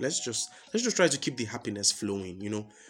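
A man is speaking. Music plays in the background. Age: young. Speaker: podcast host. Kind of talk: casual monologue.

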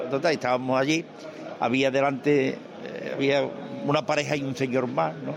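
Ordinary pitch variation and a moderate pace carry this voice over noticeable background noise. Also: man, medium pitch for a man. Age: 70s. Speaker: veteran football radio commentator. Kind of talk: storytelling interview.

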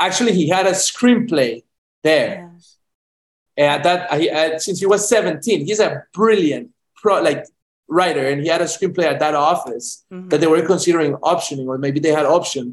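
A man's high-pitched voice in a Spanish accent, with big swings in loudness, ordinary pitch variation and a moderate pace. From Colombia, Medellin. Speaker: film director. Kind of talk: interview. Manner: halting, many repetitions.

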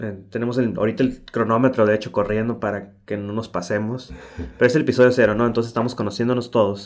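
Hardly pausing, a man talks very fast at a medium pitch with fairly even intonation. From Tijuana, Mexico. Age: 30s. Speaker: podcast co-host, UX designer. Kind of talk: casual chat.

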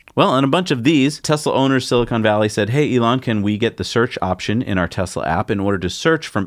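A man with an unremarkable speaking voice talks at medium pitch and a fairly quick pace, his intonation lively. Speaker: tech news show co-host. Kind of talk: casual news chat.

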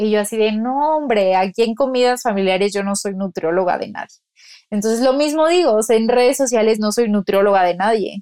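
A woman with an ordinary speaking voice at a fairly high pitch and a moderate pace. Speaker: nutritionist. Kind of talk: casual chat.

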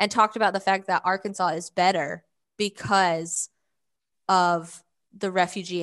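In a Southern US accent, a woman speaks at a moderate pace with fairly even intonation and fairly low pitch against a quiet background. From US South, Georgia. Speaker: nonprofit communications director. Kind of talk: interview.

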